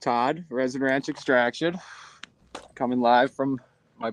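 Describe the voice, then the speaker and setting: A man with an Upper Midwest accent, medium in pitch, at a moderate pace, in a dry, close recording with no echo. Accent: Upper Midwest American. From southeast Wisconsin, US. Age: 40s. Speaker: cannabis extractor and farmer. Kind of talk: casual interview.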